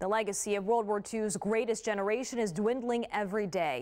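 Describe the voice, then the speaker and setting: A woman speaks at a fairly quick pace with a fairly high pitch, in an ordinary speaking voice. The recording is very clean, with a silent background. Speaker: TV news anchor. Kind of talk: TV news introduction.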